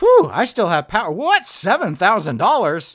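A man's put-on character voice, high in pitch, at a fairly slow pace with very wide pitch swings. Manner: relieved then shocked.

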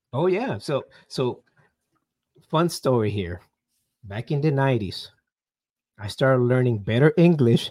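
In a Puerto Rican accent, a man with a medium-pitched, dark, mellow tone speaks at a moderate pace with lively intonation and long, frequent pauses. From Puerto Rico. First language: Spanish. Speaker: army veteran and business coach. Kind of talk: interview. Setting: video call.

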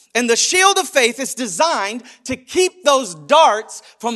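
Raised and projected, a man's extremely high-pitched voice has a bright, sharp, animated tone and lively intonation at a fairly slow pace. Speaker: preacher. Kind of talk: sermon, preacher in full flow, urgent call-and-response delivery. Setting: church. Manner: animated, emphatic, driving rhythm with repeated phrases and rhetorical questions.

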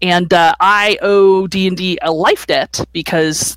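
Here a woman talks at a fairly low pitch. Her pitch variation is ordinary. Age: 40s. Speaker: podcast co-host. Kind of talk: casual chat. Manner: halting.

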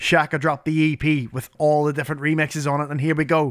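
With a normal speaking voice, a man talks at a fairly quick pace and a fairly high pitch, on a very clean recording with a silent background. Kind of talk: radio DJ patter: friendly, chatty show links and track intros before dropping a mix. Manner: upbeat, warm, easy-going and cheery, quick-talking with a playful, joking tone.

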